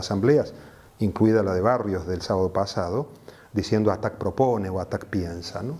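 The tone is dark and mellow, with ordinary pitch variation. Delivery comes at a moderate pace. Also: man. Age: 60s. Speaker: activist, association founder; interviewee. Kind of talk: interview; interview answer. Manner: measured, frequent hesitations. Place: home room. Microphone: lapel.

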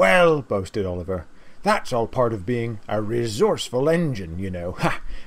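Someone reading aloud in a natural voice

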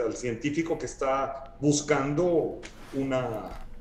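A man is speaking with audible room echo. Light background noise is present. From Guatemala. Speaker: sculptor; guest. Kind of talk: casual interview conversation. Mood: relaxed, thoughtful. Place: home room. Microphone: video call.

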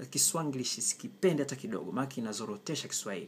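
A man's voice with vocal fry and very wide pitch swings over light background noise. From Tanzania, Kilimanjaro (Chagga area); Tanzania. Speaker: writer and language commentator. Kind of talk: opinion monologue. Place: kitchen. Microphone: phone near.

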